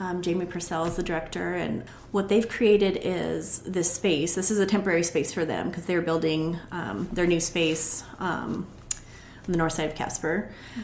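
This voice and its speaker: With an American accent, a woman talks at a moderate pace in a fairly low pitch with fairly even intonation, and room echo can be heard. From Montana, US. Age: 40s. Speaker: juice business owner, former school counselor. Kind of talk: interview.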